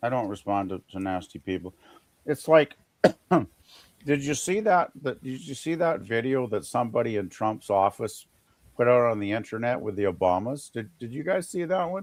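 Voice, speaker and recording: This man's voice sits at a medium pitch and moves at a moderate pace. His pitch swings very wide. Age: 60s. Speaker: live stream co-host. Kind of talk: casual chat. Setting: live stream. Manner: halting.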